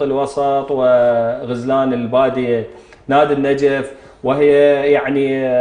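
A man is talking here. His voice carries audible room echo. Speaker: TV show host. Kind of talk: talk show commentary. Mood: indignant about a referee decision. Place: studio. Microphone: lapel.

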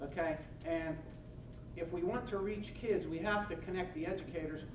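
With an American accent, a man talks at a moderate pace and ordinary pitch variation over noticeable background noise. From western Pennsylvania. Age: 60s. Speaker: nonprofit organizer and former prosecutor; presenter. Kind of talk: lecture. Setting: podium before a live audience. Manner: folksy, self-deprecating storyteller. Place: meeting room.

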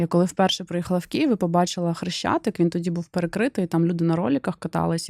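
A woman speaks very fast at a medium pitch, her intonation fairly even and the sound dry and close with no echo. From Ukraine, Kherson. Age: 40s. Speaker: business vlogger. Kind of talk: personal monologue vlog. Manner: conversational.

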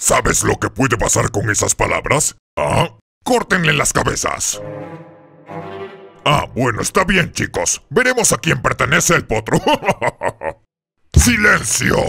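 With music in the background, a pompous tone carries through long, frequent pauses. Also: man, high pitch for a man, fairly slow pace. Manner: pompous, bossy.

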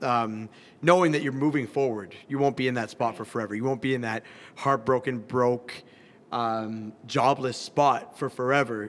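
A man with a Canadian accent at a moderate pace, with fairly even intonation. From Calgary, Canada. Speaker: pop and R&B musician. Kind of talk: interview answer. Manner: casual. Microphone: handheld.

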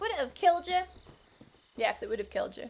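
Upbeat in tone, a woman speaks at a fairly quick pace with an extremely high pitch and very wide pitch swings. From Scotland. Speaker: game streamer. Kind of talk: casual livestream gaming commentary. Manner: chatty, upbeat.

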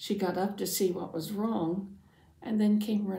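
The intonation of this unforced reading voice remains fairly even.

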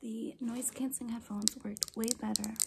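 A soft-spoken woman talks at a fairly slow pace. Loud background noise is present. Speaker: ASMR creator. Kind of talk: ASMR soft-spoken talk to camera.

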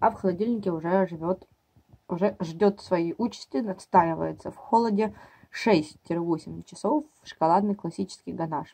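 The woman has a dark, mellow tone. She takes a fairly slow pace. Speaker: mom vlogger. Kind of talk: casual vlog chat. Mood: wry, mildly exasperated. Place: kitchen. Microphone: phone near.

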